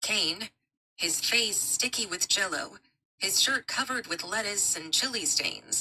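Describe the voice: A plain read-aloud delivery, lively in intonation, over quiet surroundings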